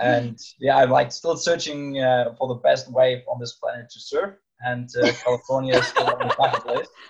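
At a moderate pace, a man with a German accent talks with big swings in loudness. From Germany, Rhine near Cologne. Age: 20s. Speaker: master's student. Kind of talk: casual interview. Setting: video call.

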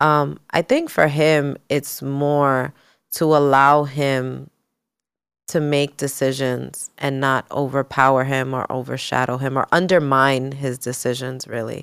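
With an American accent, a woman speaks in a very deep, low pitch at a fairly slow pace in a monotone, flat intonation, recorded very cleanly with a silent background. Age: 30s. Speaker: salon owner and entrepreneur. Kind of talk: casual chat.

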